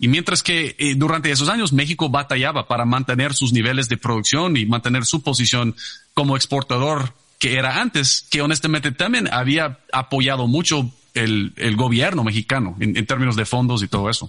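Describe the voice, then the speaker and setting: At a moderate pace, a man of medium pitch speaks with ordinary pitch variation and very even loudness, the sound dry and close with no echo. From Texas, San Antonio. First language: English (speaking Spanish). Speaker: energy company executive. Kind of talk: interview. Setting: video call. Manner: halting, repeats words.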